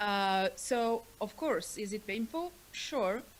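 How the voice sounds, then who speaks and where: A woman with a medium pitch speaks with a non-native accent. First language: not English. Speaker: author and panelist. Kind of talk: panel discussion. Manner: halting.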